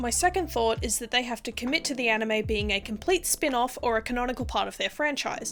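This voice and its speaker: A woman's high voice races at a very fast pace with lively intonation and hardly any pauses while music plays in the background. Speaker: video essayist. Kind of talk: video essay narration.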